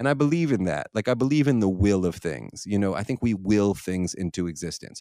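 This man speaks at a fairly quick pace with hardly any pauses, his fairly low pitch making very wide pitch swings on a very clean recording with a silent background. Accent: American. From Philadelphia, US. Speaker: filmmaker. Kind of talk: casual chat. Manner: halting, many repeated words.

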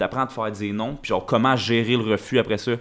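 A man with a Quebec accent, on a very clean recording with a silent background. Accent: Québécois French. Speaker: crypto entrepreneur. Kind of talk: casual chat.

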